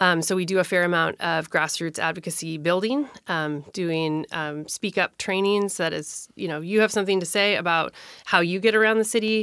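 A woman with a normal speaking voice, fairly low pitch, ordinary pitch variation and a moderate pace, on a very clean recording with a silent background. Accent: American. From Minnesota. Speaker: city council candidate and transit advocate. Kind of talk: interview.

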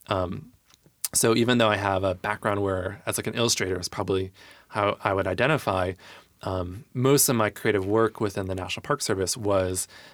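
With an unremarkable speaking voice and an American accent, a man talks at a fairly quick pace with a fairly low pitch and fairly even intonation on a very clean recording with a silent background. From US Midwest, Michigan. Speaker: arts nonprofit director. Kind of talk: casual interview.

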